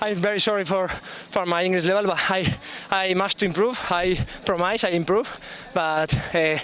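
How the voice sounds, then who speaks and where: With a Spanish accent, a man speaks at a high pitch with fairly even intonation and very even loudness, pausing long and often against noticeable background noise. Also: moderate pace. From Spain. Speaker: athlete. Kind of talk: post-race interview. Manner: halting.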